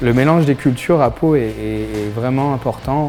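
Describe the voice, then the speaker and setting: Music plays behind a man speaking at a fairly slow pace. His voice sits at a medium pitch with ordinary variation. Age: 30s. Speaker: entrepreneur. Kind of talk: interview testimony. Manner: hesitant, many fillers.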